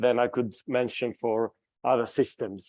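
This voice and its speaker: A man's dark, mellow voice sounds dry and close, with no echo. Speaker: physics professor. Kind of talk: lecture. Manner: loud; animated.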